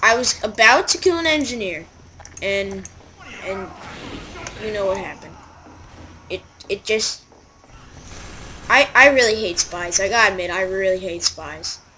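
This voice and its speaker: A woman talks at a medium pitch and a moderate pace, with long, frequent pauses. Noticeable background noise can be heard. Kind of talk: casual gameplay commentary. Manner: monotone.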